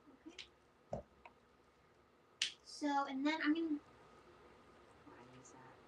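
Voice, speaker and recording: A soft-spoken woman at a fairly slow pace, with long, frequent pauses. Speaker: coloring artist. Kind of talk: tutorial. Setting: live stream. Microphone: too quiet.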